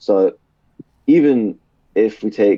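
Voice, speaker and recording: A man with a British accent, dark and mellow in tone, in a dry, close sound with no echo. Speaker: podcast guest. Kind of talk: casual chat. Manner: fast; slurred words.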